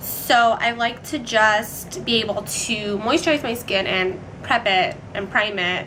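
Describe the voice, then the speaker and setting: A woman speaks at a medium pitch with ordinary pitch variation over noticeable background noise. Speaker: beauty vlogger. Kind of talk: casual tutorial. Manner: chatty, filler-heavy.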